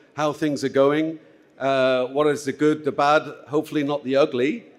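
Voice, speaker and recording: The man has a plain, everyday voice with a fairly high pitch. He keeps a moderate pace and fairly even intonation. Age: 60s. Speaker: conference moderator. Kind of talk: conference opening remarks. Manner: informal, many filler words.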